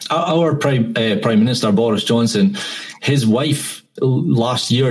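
A man speaks with a Scottish accent and lively intonation. His pace is fairly slow, and there is noticeable background noise. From Scotland. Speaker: podcast host guest. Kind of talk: casual chat. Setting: video call.

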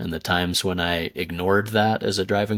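A man talks at a moderate pace with fairly even intonation in a plain, everyday voice. The recording is very clean, with a silent background. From US, grew up partly in India. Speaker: podcaster and storyteller. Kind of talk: interview conversation.

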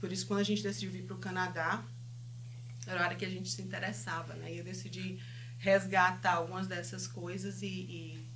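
Speaking at a fairly quick pace, a woman is heard with audible room echo and noticeable background noise. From Brazil, Fortaleza (Northeast). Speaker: counselor and business owner. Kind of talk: interview.

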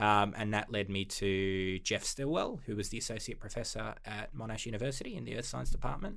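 A man with an Australian accent and vocal fry speaks with hardly any pauses. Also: fairly low pitch for a man, ordinary pitch variation, fairly quick pace. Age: 20s. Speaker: paleontology PhD student. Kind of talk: casual interview.

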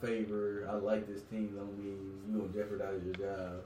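Over noticeable background noise and audible room echo, a man with an American accent speaks at a moderate pace in a fairly low pitch. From West Virginia. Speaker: podcast co-host. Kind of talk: casual chat.

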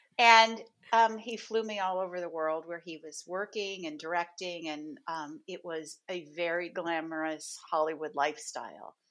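The recording is very clean with a silent background. A normal speaking voice moves at a moderate pace with ordinary pitch variation. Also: woman, fairly low pitch for a woman. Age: 60s. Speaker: dating coach. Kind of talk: casual interview chat.

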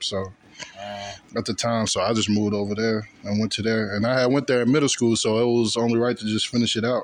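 Speaking with an American accent, a man talks at a fairly quick pace and medium pitch. Noticeable background noise sits behind him. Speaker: college student. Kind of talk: casual chat.

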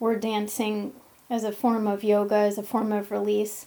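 Fairly high-pitched female voice with a dark, mellow tone at a moderate pace. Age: 40s. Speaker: intuitive coach and healer. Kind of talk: casual monologue; guided meditation.

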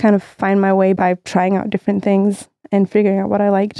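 This woman's voice has a dark, mellow tone and moves at a fairly quick pace. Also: dry, close sound with no echo. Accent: Danish. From Denmark, Copenhagen. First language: Danish. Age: 30s. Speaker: music industry professional. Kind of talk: casual interview.

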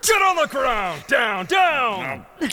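A put-on character voice shouts at a fairly high pitch. It moves at a fairly slow pace with very wide pitch swings. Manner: yelling, commanding.

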